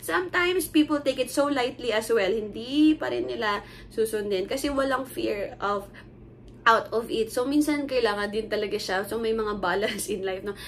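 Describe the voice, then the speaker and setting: With audible room echo, a woman of fairly high pitch speaks at a moderate pace with lively intonation. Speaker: lay preacher. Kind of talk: sermon. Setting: recorded video shown to church. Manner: casual code-switching Taglish with fillers.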